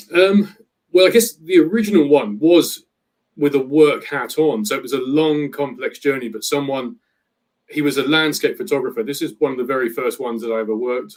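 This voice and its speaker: With a British accent, a man talks at a fairly quick pace, his intonation lively and his loudness swinging widely. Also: fairly high pitch for a man. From Britain. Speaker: travel planner. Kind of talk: interview.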